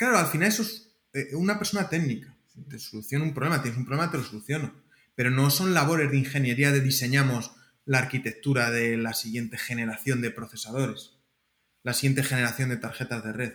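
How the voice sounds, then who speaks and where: Very fast speech from a man at a medium pitch, with ordinary shifts in pitch. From Spain, Castilla-La Mancha (Alcázar de San Juan). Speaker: computer networking researcher. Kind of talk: interview. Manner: halting, with frequent repetitions.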